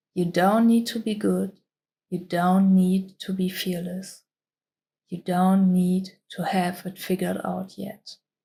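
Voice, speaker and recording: A woman speaks very slowly at medium pitch, her voice somewhat breathy with a dark, mellow tone. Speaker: self-help vlogger. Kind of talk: motivational voiceover.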